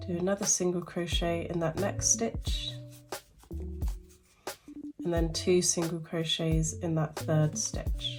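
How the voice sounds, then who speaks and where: A woman at a very slow pace, with long, frequent pauses and music in the background. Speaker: crochet tutorial maker. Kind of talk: casual tutorial talk to camera.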